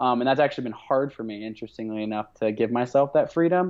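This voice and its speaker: This man has an ordinary speaking voice and a General American accent. His pitch sits in the medium range, with lively intonation. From US Pacific Northwest (Portland, Oregon). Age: 30s. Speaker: endurance athlete and adventurer. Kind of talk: podcast interview. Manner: casual, many filler words.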